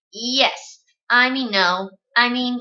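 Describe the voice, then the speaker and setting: The speaker is mumbling. It is a put-on character voice. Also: woman, high pitch for a woman. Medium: read story. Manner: shy, mumbling, hesitant.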